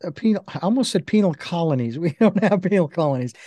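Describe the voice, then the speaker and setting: The sound is dry with no echo, and the background is quiet. A man speaks at a high pitch. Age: 60s. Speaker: podcast interview host. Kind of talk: interview. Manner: halting, many fillers. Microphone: video call.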